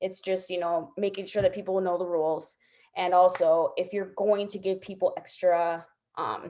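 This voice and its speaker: A woman talks in a dark, mellow tone with monotone, flat intonation. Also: medium pitch for a woman. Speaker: direct sales team leader. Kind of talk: team training video call. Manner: fast.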